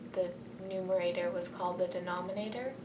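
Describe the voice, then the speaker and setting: Noticeable background noise and audible room echo both fill the clip. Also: woman. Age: young. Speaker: college freshman vlogger. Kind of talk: casual video diary. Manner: quiet; hesitant, many ums.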